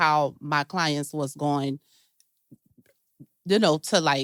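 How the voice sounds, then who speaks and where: A woman speaks with fairly even intonation. The sound is dry and close, with no echo. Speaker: panelist, tax business owner. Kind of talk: panel discussion. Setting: stage with live audience. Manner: halting.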